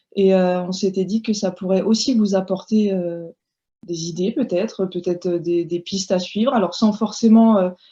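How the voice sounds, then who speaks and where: A woman speaks at a moderate pace with a dark, mellow tone, somewhat breathy and with ordinary pitch variation, against a quiet background. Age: 30s. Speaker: homeschooling mother and blogger. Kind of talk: casual chat.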